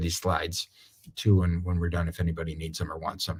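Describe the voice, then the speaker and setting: Somewhat breathy, a man with a very deep, low voice talks at a fairly quick pace. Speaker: attorney. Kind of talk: webinar presentation. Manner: fast.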